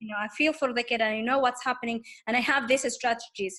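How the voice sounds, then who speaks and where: Speaking very fast with an Arabic accent, a woman uses a high pitch and a bright, sharp tone, her intonation fairly even. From Tunisia. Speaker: teaching assistant. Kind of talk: casual interview conversation. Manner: halting, many repetitions and fillers.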